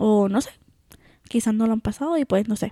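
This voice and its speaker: With a Puerto Rican accent, a woman speaks at a moderate pace in a fairly high pitch and a dark, mellow tone, her intonation fairly even and the sound dry and close with no echo. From Puerto Rico. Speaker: podcast co-host. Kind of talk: casual chat.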